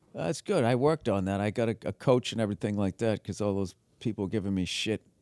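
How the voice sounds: Recorded dry and close with no echo, a man with a Boston accent talks at a very fast pace, his pitch fairly low with ordinary variation. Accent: East Coast, mild Boston.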